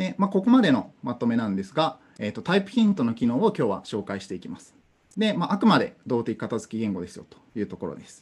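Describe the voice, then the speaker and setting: A man speaks at a very fast pace. His voice makes very wide pitch swings and big swings in loudness. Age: 20s. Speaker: conference speaker on programming; conference speaker. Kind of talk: technical talk. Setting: online conference via Zoom. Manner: hesitant, many fillers.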